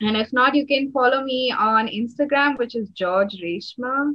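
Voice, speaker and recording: A woman speaks in an Indian accent. She goes at a fairly slow pace. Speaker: energy healing facilitator. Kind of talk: casual interview. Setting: call.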